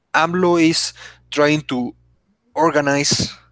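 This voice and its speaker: A man speaks with a Spanish accent. The sound is dry and close, with no echo. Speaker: podcast co-host. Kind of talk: casual chat. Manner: halting, many false starts.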